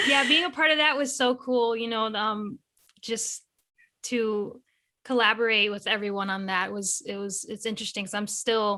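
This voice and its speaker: The tone is bright and sharp against a quiet background. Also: woman, fairly high pitch for a woman, ordinary pitch variation, moderate pace. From New England, US. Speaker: guitarist and illustrator. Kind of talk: podcast interview.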